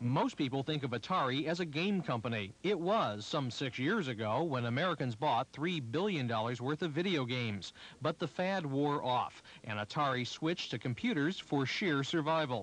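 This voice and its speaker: A man's fairly high-pitched, ordinary speaking voice with lively intonation, moderate pace, very even loudness and hardly any pauses. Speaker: news reporter. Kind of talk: 1980s TV news report, scripted. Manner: formal, brisk, polished broadcast delivery; even, authoritative, steady pacing.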